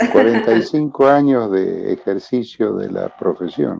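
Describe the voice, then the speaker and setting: A man speaking at a very slow pace. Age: 70s. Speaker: psychiatrist and preacher. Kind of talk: interview.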